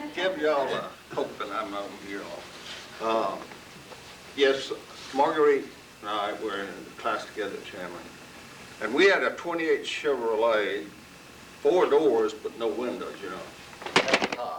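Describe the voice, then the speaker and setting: Amid noticeable background noise and audible room echo, a man with a Southern US accent speaks at a fairly slow pace, with long, frequent pauses and big swings in loudness. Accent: Southern US (Georgia). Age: 70s. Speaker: longtime local resident. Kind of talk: reminiscing at community gathering.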